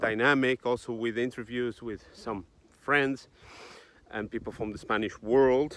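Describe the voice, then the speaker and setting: The man's pitch is medium and his intonation stays flat and monotone. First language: Portuguese. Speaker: YouTube commentator on geopolitics. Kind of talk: casual monologue vlog. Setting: outdoors, walking in a forest. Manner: halting, many hesitations.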